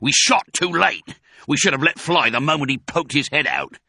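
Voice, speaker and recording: A man puts on a character voice, growling at a fairly high pitch. He keeps a moderate pace. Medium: read story.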